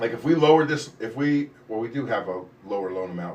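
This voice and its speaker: Ordinary pitch variation from a male speaker, with audible room echo. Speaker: mortgage loan officer. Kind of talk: live stream Q&A. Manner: fast; casual rambling.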